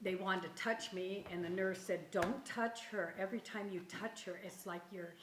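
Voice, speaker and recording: Lively intonation from a woman at a moderate pace, with audible room echo and noticeable background noise. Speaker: grandmother recounting illness. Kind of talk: interview. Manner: animated.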